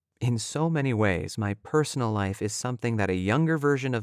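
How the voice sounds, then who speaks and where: Calm in tone, a man with an American accent speaks at a medium pitch and a fairly quick pace. His intonation is lively, and the recording is very clean with a silent background. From US Midwest, Southwest Michigan. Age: 30s. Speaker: voice actor. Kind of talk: reading aloud. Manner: calm and reflective.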